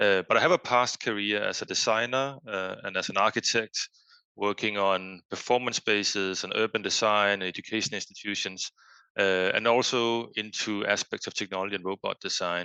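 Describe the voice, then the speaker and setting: A man with a Danish accent speaks at a moderate pace, with fairly low pitch, fairly even intonation and a bright, sharp tone. The sound is dry and close with no echo against a quiet background. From Denmark. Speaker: foundation executive and researcher. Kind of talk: podcast interview. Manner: hesitant, many fillers.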